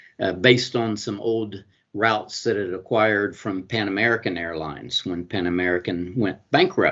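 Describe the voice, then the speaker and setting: A man speaks in a Southern US accent at a fairly low pitch. His pace is moderate and his pitch variation ordinary. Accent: Southern US (Georgia). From US South, Georgia. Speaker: honorary consul and international business lawyer. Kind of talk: interview. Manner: halting, many fillers.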